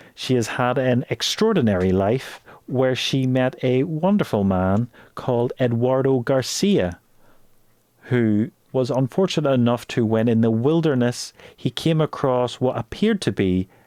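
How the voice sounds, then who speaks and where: In a dry, close recording with no echo and a quiet background, a man talks at a fairly slow pace with a medium pitch and an ordinary speaking voice. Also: lively intonation. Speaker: podcast host. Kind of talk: podcast introduction.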